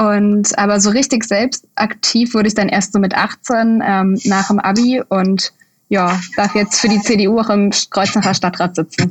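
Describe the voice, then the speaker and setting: Somewhat breathy, a woman speaks with a medium pitch and fairly even intonation. Her loudness stays very even. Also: fairly slow pace. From Bad Kreuznach, Germany. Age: 20s. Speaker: student and deputy candidate. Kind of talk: interview.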